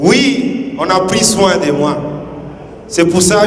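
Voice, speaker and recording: With noticeable background noise and audible room echo, a man speaks very slowly at a high pitch, his intonation lively. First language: another native language, not French (speaking French). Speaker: groom's family speaker at wedding. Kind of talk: wedding speech.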